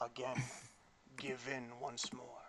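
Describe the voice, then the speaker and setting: In a put-on character voice, a man sounds raspy and monotone, flat at a medium pitch, with clear background noise behind him. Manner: commanding, ominous.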